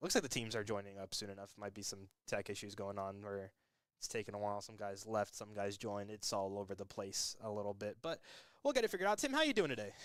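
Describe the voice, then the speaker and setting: Talking at a very fast pace, a man keeps his fairly low voice fairly even in intonation. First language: not English. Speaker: esports commentator. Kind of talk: live commentary. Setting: live stream.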